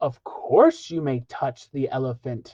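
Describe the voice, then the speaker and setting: A man performs a put-on character voice at a fairly slow pace. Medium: read story. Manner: courteous.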